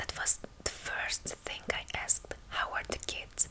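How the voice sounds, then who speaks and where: Whispering at a very slow pace with a Hungarian accent, a woman speaks through noticeable background noise. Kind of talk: ASMR book reading. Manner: soft-spoken.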